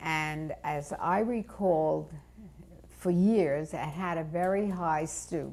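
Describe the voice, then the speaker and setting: With a New York accent, a woman speaks at a very slow pace, her very deep, low pitch showing ordinary variation. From New York City (Brooklyn). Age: 70s. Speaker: interviewee telling life story. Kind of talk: oral history interview.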